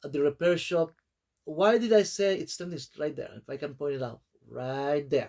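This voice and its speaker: Speaking at a moderate pace, a man with a non-native accent has a fairly high pitch and ordinary pitch variation. His loudness swings widely. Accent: foreign. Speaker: small YouTuber. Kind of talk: casual vlog talk. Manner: halting, many fillers.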